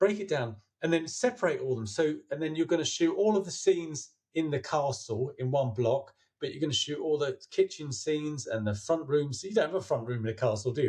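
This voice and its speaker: With a somewhat breathy, fairly high voice, a man speaks at a fairly quick pace, his pitch swinging very widely. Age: 60s. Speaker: filmmaker. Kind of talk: interview. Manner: halting.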